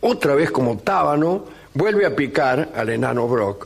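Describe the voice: Plain reading aloud comes through with lively intonation.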